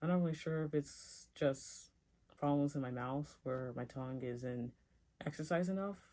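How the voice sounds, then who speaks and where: Someone mumbles at a moderate pace in a very clean recording with a silent background. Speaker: youtuber sharing personal story. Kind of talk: casual storytime monologue. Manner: mumbling.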